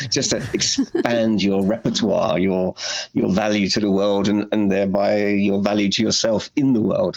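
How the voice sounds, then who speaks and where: Over noticeable background noise, a man with a British accent speaks at a fairly low pitch. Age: 60s. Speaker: anxiety therapist. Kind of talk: podcast interview.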